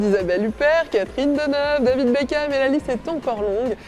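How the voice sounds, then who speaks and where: Over noticeable background noise, a high-pitched woman talks at a moderate pace with lively intonation. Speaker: TV presenter. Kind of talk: TV morning news presenter read.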